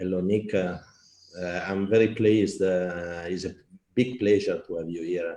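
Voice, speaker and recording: A man speaks with an Italian accent at a moderate pace. His pitch is very deep and low, with a dark, mellow tone and fairly even intonation. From Italy. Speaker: festival art director and talk host. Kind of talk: online talk hosting. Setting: online live stream. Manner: halting, many fillers.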